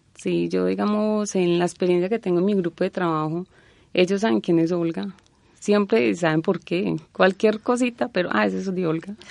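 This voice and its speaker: A woman speaks in an ordinary speaking voice, fairly low-pitched and at a moderate pace. Her intonation is lively over a quiet background. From Colombia, Antioquia. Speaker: university department secretary. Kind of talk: interview.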